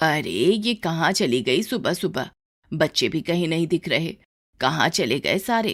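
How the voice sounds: On a very clean recording with a silent background, a woman uses a put-on character voice, low in pitch, with big pitch swings at a fairly slow pace.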